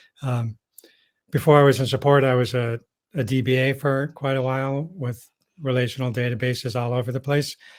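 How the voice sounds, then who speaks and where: A man speaks at a fairly quick pace in a medium pitch with monotone, flat intonation. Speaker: technical support engineer. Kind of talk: webinar presentation.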